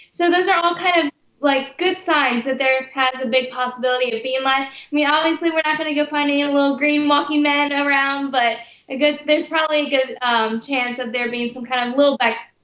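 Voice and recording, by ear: A woman's high-pitched, fairly bright voice with an American accent, fairly even intonation and a fairly quick pace.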